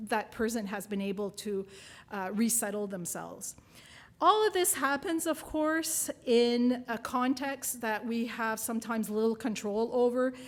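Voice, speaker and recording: In a French accent, a woman talks at a fairly slow pace and a fairly high pitch with ordinary pitch variation. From New Brunswick, Canada. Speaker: nursing professor and researcher. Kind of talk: keynote lecture.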